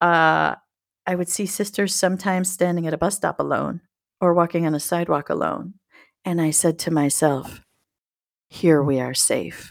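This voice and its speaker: This very clean recording has a silent background. A woman with a fairly low pitch speaks at a moderate pace, with long, frequent pauses. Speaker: book podcast co-host. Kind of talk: casual chat. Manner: animated.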